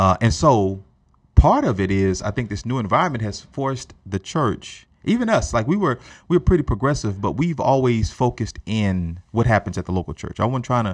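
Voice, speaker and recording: A man speaks in a normal speaking voice with a fairly low pitch and lively intonation. His pace is fairly quick, and the background is quiet. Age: 30s. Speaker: pastor. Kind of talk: casual chat. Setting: studio.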